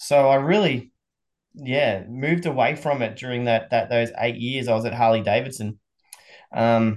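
A man's voice sits at medium pitch. He keeps a moderate speed with ordinary pitch variation. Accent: Australian. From Australia. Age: 40s. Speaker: motorsport event promoter. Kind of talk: podcast interview. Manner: hesitant, many fillers.

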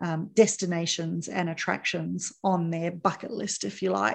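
Over a quiet background, a woman with a New Zealand accent speaks at a moderate pace. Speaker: podcast host. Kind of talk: casual interview.

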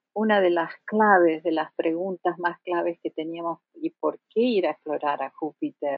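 A woman speaks in an Argentine accent, her pitch fairly low. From Argentina. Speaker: planetary scientist. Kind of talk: interview.

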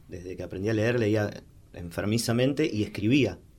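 In a Rioplatense accent, a man talks at a fairly quick pace, his fairly low pitch showing ordinary variation. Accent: Rioplatense Spanish (porteño). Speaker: singer-songwriter. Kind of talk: interview. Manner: halting, many repeated words and fillers.

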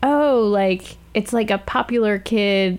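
At a fairly slow pace, a woman with an unremarkable speaking voice talks at medium pitch with ordinary pitch variation. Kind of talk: casual conversational art discussion.

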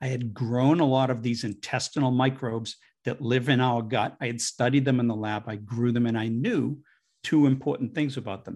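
Against a quiet background, a man speaks at a medium pitch and a fairly quick pace with fairly even intonation, in a plain, everyday voice. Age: 60s. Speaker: digestive health researcher and author. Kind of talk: interview.

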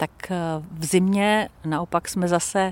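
A woman with a plain, everyday voice, fairly low in pitch, with ordinary pitch variation and a dry, close sound free of echo. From Czech Republic. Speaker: former radio presenter. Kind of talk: interview.

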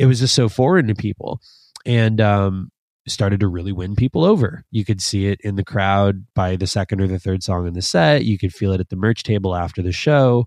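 A man with a Canadian accent talks at a fairly quick pace in a fairly low pitch, with an unremarkable speaking voice. The sound is dry and close with no echo, against a quiet background. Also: ordinary pitch variation. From Canada, Toronto (Scarborough). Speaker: instrumental band musician. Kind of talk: casual interview chat. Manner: casual, many fillers.

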